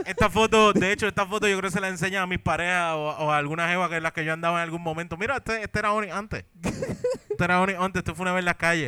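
A man's high-pitched voice with a bright, sharp tone, very fast and with hardly any pauses, in fairly even intonation. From Puerto Rico, Caguas. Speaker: podcast co-host. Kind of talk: live comedy podcast before audience. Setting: brewery stage with live audience.

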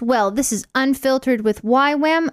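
With an animated, upbeat tone, the speaker keeps a moderate pace and ordinary pitch variation in a very clean recording that has a dry, close sound with no echo and a silent background. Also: woman. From Canada. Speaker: radio host. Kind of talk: casual radio chat.

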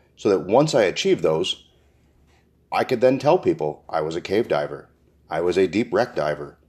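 A man's fairly quick speech with vocal fry and very wide pitch swings, over a quiet background. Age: 40s. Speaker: podcast host. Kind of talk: solo podcast monologue.

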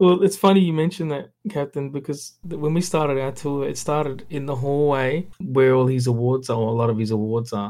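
A man with an Australian accent, fairly high in pitch, with a dark, mellow tone, ordinary pitch variation, a fairly quick pace and hardly any pauses. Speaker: photographer. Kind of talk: casual chat. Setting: remote call.

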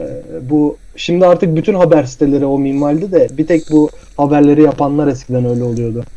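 A man with an unremarkable speaking voice talks at a fairly quick pace. His pitch sits fairly high, with ordinary variation. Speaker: podcast host. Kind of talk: casual chat. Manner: laughing often.

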